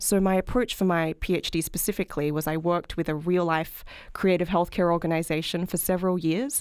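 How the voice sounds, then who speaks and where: On a very clean recording with a silent background, a woman speaks at a medium pitch with an Australian accent. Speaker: health policy researcher. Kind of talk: interview.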